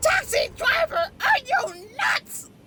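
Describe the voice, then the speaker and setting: The woman puts on a character voice, pitched extremely high, with very wide pitch swings. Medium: machinima. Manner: brash, impatient.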